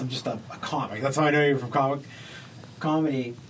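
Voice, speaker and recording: Noticeable background noise and audible room echo fill the recording as a man talks at a fairly quick pace. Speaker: comedian podcast host. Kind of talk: casual chat. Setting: studio.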